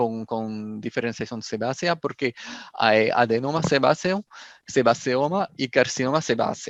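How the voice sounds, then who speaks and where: A man speaks with a French accent. The sound is dry and close with no echo, over a quiet background. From France. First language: French (speaking Spanish). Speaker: pathology professor. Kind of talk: lecture. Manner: halting.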